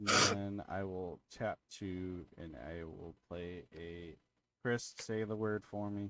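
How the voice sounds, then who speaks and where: This man has a very deep, low voice. He speaks at a very slow pace. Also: ordinary pitch variation. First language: Portuguese. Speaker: streamer playing card game. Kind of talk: casual chat. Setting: live stream with friends.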